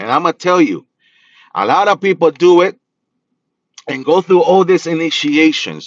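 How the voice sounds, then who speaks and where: In a Spanish accent, a man speaks in a high pitch with an animated tone and ordinary pitch variation, in a dry, close sound with no echo. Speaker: spiritual practitioner and reader. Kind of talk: livestream talk.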